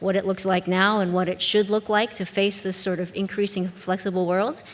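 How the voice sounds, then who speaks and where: The speaker talks at a fairly quick pace with an American accent. The intonation stays monotone and flat. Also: woman. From US Midwest. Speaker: business school dean. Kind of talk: panel discussion.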